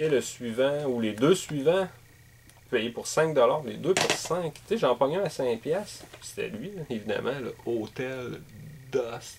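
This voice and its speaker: Light background noise sits behind a man with a Quebec accent. He speaks at a very slow pace. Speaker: gaming YouTuber and game collector. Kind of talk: casual video monologue. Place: home room. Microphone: webcam.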